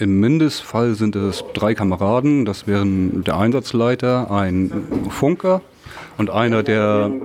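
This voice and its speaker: At a very slow pace, a man with a fairly low pitch speaks with ordinary pitch variation and very even loudness over noticeable background noise. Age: 30s. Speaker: volunteer firefighter, group leader. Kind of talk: interview, explaining equipment.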